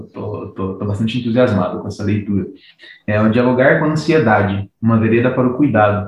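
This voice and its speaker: A man speaks in a plain, everyday voice at a fairly quick pace. His pitch is medium, with ordinary pitch variation. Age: 30s. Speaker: psychologist. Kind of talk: casual chat.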